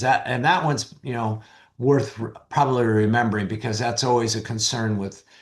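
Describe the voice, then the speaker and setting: The voice is somewhat breathy. The background stays quiet. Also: man. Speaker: physician presenter. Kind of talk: lecture.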